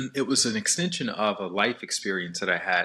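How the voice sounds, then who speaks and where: Bright and sharp in tone, a man with an American accent talks at a moderate pace with ordinary pitch variation. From US South, Alabama. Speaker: meditation teacher and author. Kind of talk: podcast interview.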